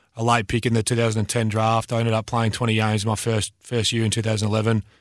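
The man speaks very fast. His accent is Australian. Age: 20s. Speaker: retired footballer. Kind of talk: casual chat. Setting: studio. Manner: halting.

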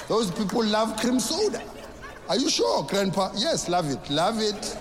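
A man at a moderate pace with lively intonation, plus noticeable background noise and audible room echo. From South Africa. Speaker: stand-up comedian. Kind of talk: stand-up.

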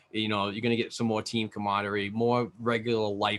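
Words come out at a very fast pace in a monotone, flat intonation. The tone is bright and sharp. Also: man. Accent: New England. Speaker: hockey podcaster and prospects analyst. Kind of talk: casual chat.

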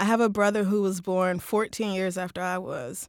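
A woman with an American accent speaks in an animated tone. Her pitch is medium, with ordinary pitch variation. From Oklahoma (Tulsa), US South. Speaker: podcast host. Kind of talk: casual interview chat. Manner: animated, frequent laughter.

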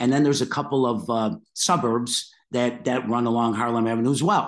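In an American accent, a plain, everyday voice speaks at a moderate pace. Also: man. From Chicago, US. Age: 50s. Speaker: podcast host. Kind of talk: interview.

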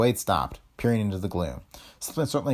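The plain reading aloud carries a lively intonation.

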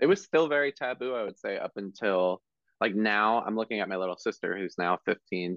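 With an American accent and a normal speaking voice, a man talks at a moderate pace and medium pitch, his intonation lively. The sound is dry and close with no echo. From South Jersey, US. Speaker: hairstylist and educator. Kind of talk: casual interview.

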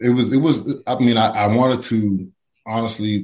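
This man has an unremarkable speaking voice with fairly even intonation. He talks at a moderate pace. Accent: American. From Pittsburgh, Pennsylvania (from age seven). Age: 40s. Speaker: former NFL player. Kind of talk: interview. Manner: casual, many fillers and restarts.

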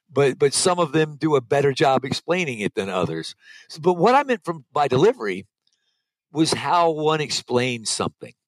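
An ordinary speaking voice from a man, fairly high in pitch, with lively intonation, a moderate pace and a dry, close sound with no echo. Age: 50s. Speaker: mountain bike skills instructor. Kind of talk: interview.

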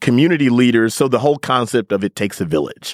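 Speaking with a Midwestern American accent, a man at a medium pitch talks at a fairly quick pace with ordinary pitch variation and a dry, close sound with no echo. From US Midwest. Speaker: digital media editor. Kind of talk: casual chat. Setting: studio.

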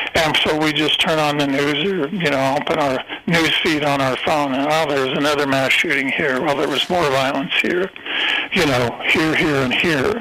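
Over noticeable background noise and audible room echo, a man with an American accent talks at a moderate pace in a fairly high voice, with fairly even intonation and very even loudness. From US Midwest, eastern Kansas. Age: 70s. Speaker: true crime author and journalist. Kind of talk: interview.

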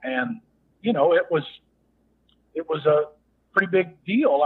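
Moderate in pace, a man speaks with a Texas accent. His pitch is high. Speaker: former actor and rodeo cowboy. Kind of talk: casual interview.

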